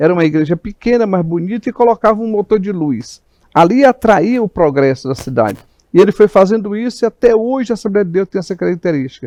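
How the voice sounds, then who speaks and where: Talking at a very fast pace, a man with a high pitch and a dark, mellow tone uses lively intonation, captured dry and close with no echo. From Maranhão, Brazil (Imperatriz). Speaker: pastor, church president. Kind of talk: interview talk show.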